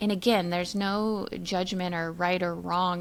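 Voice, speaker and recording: An ordinary speaking voice from a woman, medium in pitch, moderately paced, with fairly even intonation and a very clean recording with a silent background. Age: 40s. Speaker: podcast co-host. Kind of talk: casual chat.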